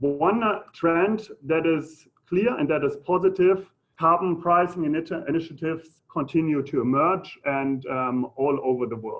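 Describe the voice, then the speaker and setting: A man with a German accent, a fairly high pitch and a moderate pace. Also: ordinary pitch variation. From Germany. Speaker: economist. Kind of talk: lecture. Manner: halting, many fillers.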